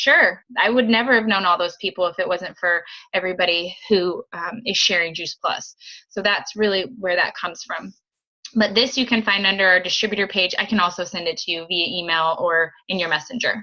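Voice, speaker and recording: In a plain, everyday voice, a woman of medium pitch talks at a fairly quick pace. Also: ordinary pitch variation. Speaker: direct sales team leader. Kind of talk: team training video call. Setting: video call.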